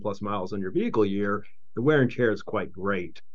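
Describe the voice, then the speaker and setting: In an American accent, a man with a fairly low pitch speaks at a moderate pace, with audible room echo around him. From Charleston, West Virginia. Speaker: entrepreneur, company CEO. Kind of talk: casual interview.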